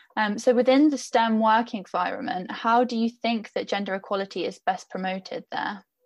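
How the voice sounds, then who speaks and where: Against a quiet background, a woman with a fairly high, somewhat breathy voice talks at a fairly quick pace with fairly even intonation. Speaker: podcast host and editor. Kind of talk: moderated panel discussion.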